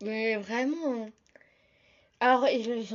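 This woman's voice sits fairly high. Her pitch variation is ordinary. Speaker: podcaster. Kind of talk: casual solo podcast talk.

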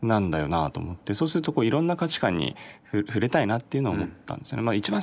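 Very wide pitch swings run through the fairly low voice of a man. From Japan, Chiba. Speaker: startup founder and CEO. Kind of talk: interview.

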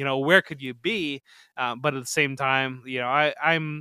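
A man speaks at a moderate pace with a medium-pitched, bright, sharp tone. The recording is very clean, dry and close, with no echo and a silent background. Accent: Midwestern American. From northwest Ohio, Toledo area. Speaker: fantasy football analyst. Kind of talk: casual interview. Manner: halting, many repeated words.

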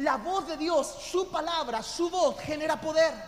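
An animated tone at a moderate pace. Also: man. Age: 40s. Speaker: pastor. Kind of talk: sermon. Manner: loud.

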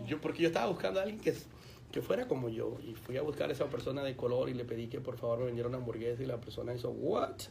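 Amid noticeable background noise and audible room echo, a man with medium pitch talks at a very fast pace. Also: ordinary pitch variation. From Colombia. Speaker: pastor. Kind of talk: radio interview.

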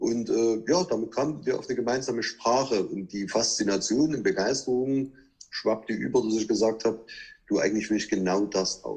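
At a moderate pace, a man with a medium pitch speaks in a normal speaking voice. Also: ordinary pitch variation. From Saxony, Chemnitz. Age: 40s. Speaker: car dealership owner. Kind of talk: interview.

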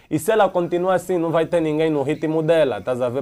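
This man has an Angolan accent and a fairly high-pitched voice. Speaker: musician. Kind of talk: heated debate. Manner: animated.

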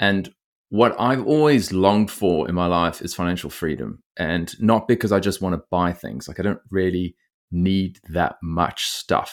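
A man with an Australian accent and a very deep, low pitch, at a moderate pace with ordinary pitch variation, on a very clean recording with a silent background. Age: 30s. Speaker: bitcoin podcaster, former lawyer. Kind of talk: casual interview conversation.

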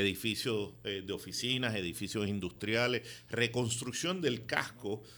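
A man speaks with a fairly low pitch and a bright, sharp tone. His pace is fairly slow. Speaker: real estate developer. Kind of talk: radio interview.

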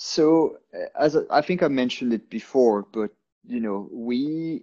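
Against a quiet background, a man speaks very slowly in a dark, mellow tone, the sound dry and close with no echo. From France and Ireland. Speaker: sales and pipeline executive. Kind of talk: interview conversation.

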